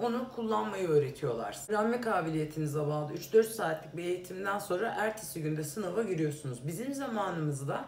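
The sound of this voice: A woman talks at a fairly quick pace with few pauses, lively intonation, a fairly low pitch and a slightly mellow tone, over faint background noise.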